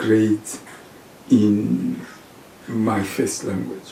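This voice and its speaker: A man speaks very slowly with a Zimbabwean accent. Noticeable background noise is audible. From Zimbabwe, eastern part. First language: Shona. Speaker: professor. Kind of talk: interview. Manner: hesitant, with many fillers.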